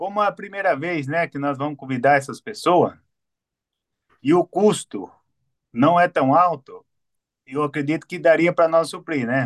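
A man with a fairly high pitch and ordinary pitch variation speaks at a fairly slow pace with long, frequent pauses. The sound is dry and close, with no echo. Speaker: workshop organizer. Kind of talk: announcement.

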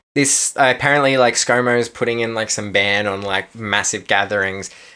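With an Australian accent and a bright, sharp tone, a man talks in fairly even intonation on a very clean recording with a silent background. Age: 20s. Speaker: podcast co-host. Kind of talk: casual chat.

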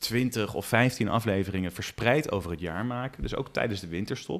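The pace is moderate. It is a very clean recording with a silent background. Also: man. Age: 40s. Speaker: podcast co-host. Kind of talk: casual chat.

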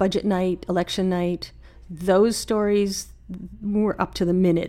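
A woman speaks with a Canadian prairie accent at a fairly low pitch. Her tone is dark and mellow, her intonation monotone and flat. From Saskatchewan, Canada (Saskatoon). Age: 50s. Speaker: early retiree, former library technician. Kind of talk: casual interview.

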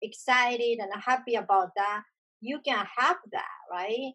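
A woman's fairly high voice in a Japanese accent, with ordinary pitch variation and a moderate pace. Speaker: video podcast host. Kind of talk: casual conversation.

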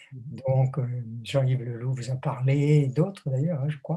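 At a fairly slow pace, a man with a fairly high pitch speaks in a somewhat breathy voice with a dark, mellow tone and fairly even intonation. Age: 80s+. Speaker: theologian and author. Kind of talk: interview.

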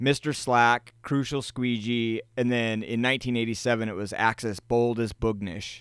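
With an American accent and an ordinary speaking voice, a man speaks at a medium pitch and moderate pace in a very clean recording with a silent background and a dry, close sound with no echo. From United States. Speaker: music history podcaster. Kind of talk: casual chat.

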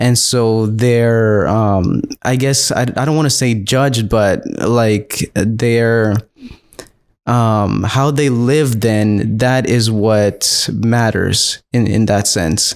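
A man with an American accent, medium in pitch, at a very slow pace, with fairly even intonation and very even loudness. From Texas. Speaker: pastor. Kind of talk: casual chat. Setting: home studio.

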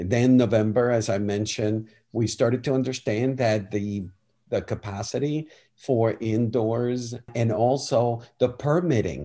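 Against a quiet background, a man speaks in a dark, mellow tone with ordinary pitch variation. His pace is very slow. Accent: Spanish. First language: Spanish. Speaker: film festival director.

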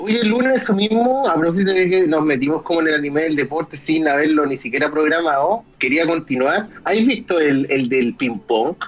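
The speaker talks with a Chilean accent and hardly any pauses. Noticeable background noise is present. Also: moderate pace. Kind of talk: casual chat.

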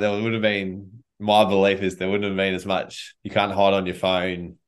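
Speaking with an Australian accent, a man uses a fairly low pitch and fairly even intonation at a moderate pace. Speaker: charity director and army veteran. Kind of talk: interview conversation.

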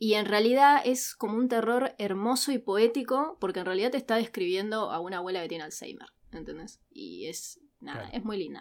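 A woman with a Rioplatense accent speaks at a fairly quick pace with a fairly high pitch. Her intonation is lively and her loudness swings widely. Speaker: podcast co-host, university student. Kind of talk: casual chat.

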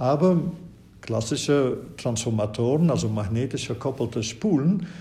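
Here a man talks at a medium pitch and moderate pace, with lively intonation, vocal fry and a dark, mellow tone. Audible room echo surrounds him. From Flanders, Belgium. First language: Dutch (Flemish) (speaking German). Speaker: professor. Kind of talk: interview. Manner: hesitant with many fillers.

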